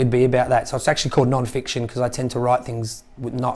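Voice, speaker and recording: A man's medium-pitched voice at a very fast pace, with an Australian accent. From Australia, Victoria. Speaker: chef and restaurant owner. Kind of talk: casual interview chat. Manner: hesitant, many fillers.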